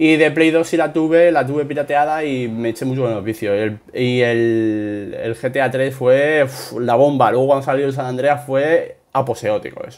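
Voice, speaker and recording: Speaking at a moderate pace with hardly any pauses, a man uses a medium pitch and ordinary pitch variation. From Spain. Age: 30s. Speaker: gaming youtuber. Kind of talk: Q&A video answering subscribers. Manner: spontaneous, unscripted; hesitant with many fillers.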